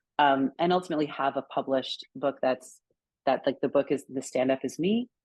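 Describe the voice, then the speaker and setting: Speaking at a fairly quick pace, a woman uses a very deep, low pitch with ordinary pitch variation. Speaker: writer. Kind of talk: interview. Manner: fast.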